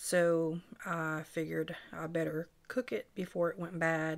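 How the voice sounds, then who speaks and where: The speaker is a woman. Her pitch sits fairly low. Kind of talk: casual cooking vlog chat. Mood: relaxed, playful. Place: kitchen. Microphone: camera far.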